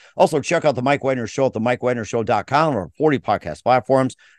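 With an unremarkable speaking voice, a man talks at a fairly quick pace and ordinary pitch variation, the sound dry and close with no echo and the background quiet. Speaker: podcast host. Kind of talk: interview, with sponsor reads.

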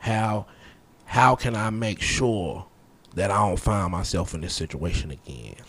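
An ordinary speaking voice from a man, fairly low-pitched, with lively intonation. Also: fairly slow pace. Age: 30s. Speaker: podcast guest. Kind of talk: casual chat.

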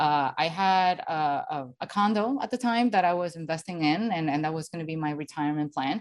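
A woman with a Spanish accent and fairly low pitch speaks at a fairly quick pace with lively intonation and hardly any pauses, over a quiet background. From Venezuela. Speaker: financial educator. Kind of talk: podcast interview. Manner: hesitant with fillers.

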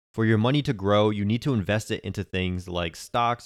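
Here is a man with a normal speaking voice, fairly low in pitch, with fairly even intonation. The recording is very clean with a silent background and a dry, close sound with no echo. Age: 20s. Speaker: personal finance podcast host. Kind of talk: scripted narration.

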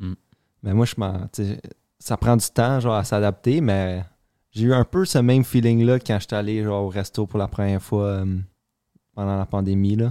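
A man with a fairly low pitch and a dark, mellow tone speaks at a moderate pace, with fairly even intonation and long, frequent pauses. The very clean recording has a silent background and a dry, close sound with no echo. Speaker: podcast co-host. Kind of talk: casual chat.

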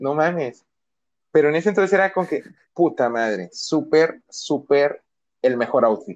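Pausing long and often, a man with a Mexican accent speaks at a fairly slow pace in a fairly high pitch with lively intonation. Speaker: podcast co-host. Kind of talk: casual chat.

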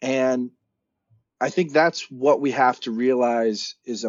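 This man's voice has a medium pitch. Its rise and fall is ordinary. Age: 30s. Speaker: nonprofit founder. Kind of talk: interview.

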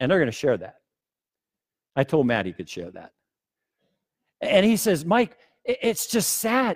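A man's high-pitched voice with a warm tone, in a dry, close sound with no echo. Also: very clean recording, silent background. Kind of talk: sermon. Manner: earnest, pleading, conversational and warm; emphatic and preacherly, with repeated phrases building to a crescendo.

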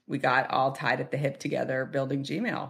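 A woman with an American accent speaks in a very deep, low pitch. Vocal fry runs through her voice. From US Northeast, Boston area. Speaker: tech executive. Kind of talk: interview conversation.

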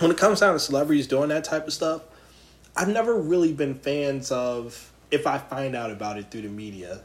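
A man talks at a moderate pace in a fairly high voice. His pitch swings very widely. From Philadelphia. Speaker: podcast host. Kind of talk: casual chat. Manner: animated.

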